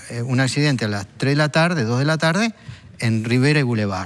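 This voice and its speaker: A man speaks in a Uruguayan accent at a moderate pace. His medium pitch moves with lively intonation. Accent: Rioplatense Spanish (Uruguayan). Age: 60s. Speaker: drug policy expert. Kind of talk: TV talk show interview.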